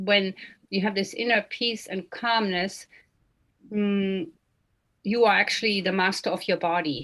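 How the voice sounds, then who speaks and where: Long, frequent pauses break up a woman's fairly slow speech, which sits at a medium pitch with ordinary variation. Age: 60s. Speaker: meditation session moderator. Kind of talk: online meditation session discussion.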